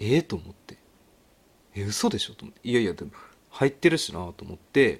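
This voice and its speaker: A somewhat breathy man with medium pitch talks at a fairly quick pace, with long, frequent pauses. His pitch swings very widely and his loudness varies greatly. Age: 30s. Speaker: podcast host. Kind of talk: casual solo talk. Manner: animated.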